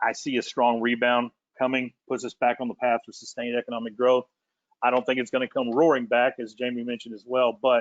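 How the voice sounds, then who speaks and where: Speaking at a very fast pace, a man keeps a medium pitch and a monotone, flat intonation while his loudness swings widely. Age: middle-aged. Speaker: industry panelist. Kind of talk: presentation. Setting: virtual webinar.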